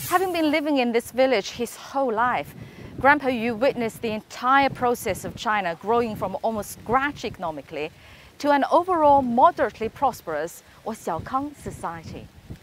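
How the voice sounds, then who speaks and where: A woman's high-pitched voice with very wide pitch swings, at a moderate pace, dry with no echo, over light background noise. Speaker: TV news anchor. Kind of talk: news report piece to camera. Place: open country. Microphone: lapel.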